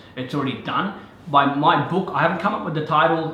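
Amid noticeable background noise and audible room echo, a man with an Australian accent speaks in an energetic tone. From Afghanistan. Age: 30s. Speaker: real estate agent. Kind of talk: interview.

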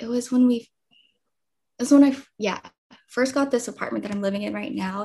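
A woman's somewhat breathy voice comes through with a Californian accent. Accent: Californian American. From US West Coast, East Los Angeles (El Monte). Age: 20s. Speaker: content creator. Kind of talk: casual interview chat.

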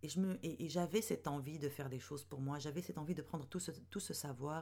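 A woman with a very deep, low pitch and a dark, mellow tone speaks at a moderate pace with ordinary pitch variation. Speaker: podcast host, web strategist and mentor for women entrepreneurs. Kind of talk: solo podcast monologue. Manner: hesitant, many fillers.

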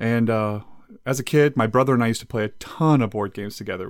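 A man with a plain, everyday voice at medium pitch is heard in a very clean recording with a silent background. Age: 30s. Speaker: podcast co-host. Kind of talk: casual chat.

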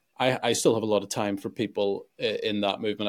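In a very clean recording with a silent background, a man speaks in a Northern Irish accent. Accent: Northern Irish (Belfast). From Northern Ireland, Belfast. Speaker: pastor and YouTuber. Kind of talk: interview conversation.

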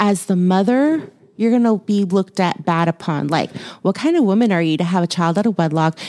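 With an American accent, a woman talks at a fairly quick pace in an unremarkable speaking voice, her medium pitch carrying lively intonation at very even loudness over a very clean recording with a silent background. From Houston, Texas. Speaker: podcast co-host, movie reviewer. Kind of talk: casual chat.

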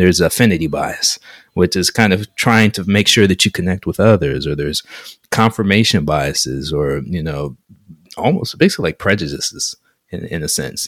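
A man with an American accent and a very deep, low pitch talks at a moderate pace with lively intonation and vocal fry. The recording is very clean and dry, with a silent background and a close sound with no echo. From US South (Atlanta, Georgia). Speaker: podcast co-host, engineer. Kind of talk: casual chat.

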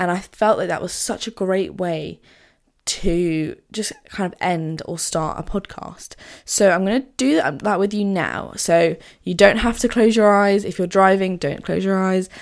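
On a very clean recording with a silent background, a woman speaks at a medium pitch in a plain, everyday voice. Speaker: podcast host. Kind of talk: guided meditation; casual solo podcast talk. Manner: warm, friendly, conversational.

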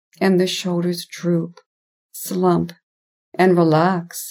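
On a very clean recording with a silent background, a woman speaks very slowly in a dark, mellow tone at a fairly low pitch. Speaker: hypnotherapist podcast host. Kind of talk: guided meditation; scripted intro and recap. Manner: gently paced with long pauses.

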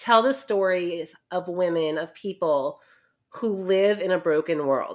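A woman with an American accent, at a very slow pace with lively intonation. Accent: New York, mellowed by years in Ohio. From New York. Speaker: author. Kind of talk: interview, casual chat.

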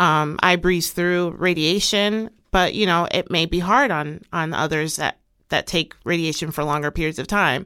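The recording is very clean, with a silent background. A woman speaks in an ordinary speaking voice at a moderate pace, with a fairly low pitch and ordinary pitch variation. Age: 30s. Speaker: cancer survivor. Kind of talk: interview.

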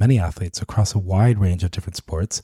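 A man with a dark, mellow tone and a somewhat breathy voice talks at a moderate pace in a very clean recording with a silent background and a dry, close sound with no echo. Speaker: podcast host. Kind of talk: scripted narration.

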